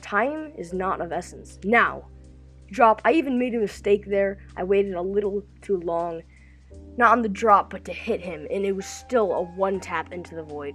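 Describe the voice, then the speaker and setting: A woman speaks at a medium pitch with ordinary pitch variation and big swings in loudness, with music playing in the background. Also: moderate pace. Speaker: gaming YouTuber. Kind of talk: gameplay tutorial voiceover. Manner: upbeat.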